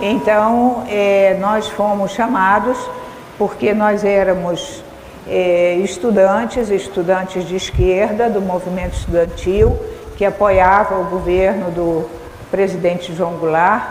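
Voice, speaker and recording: A woman speaks at a very slow pace with fairly even intonation. Noticeable background noise and audible room echo fill the recording. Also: medium pitch for a woman. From Brazil, Rio de Janeiro. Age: 70s. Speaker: speaker, educator. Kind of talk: lecture. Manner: halting, with frequent fillers.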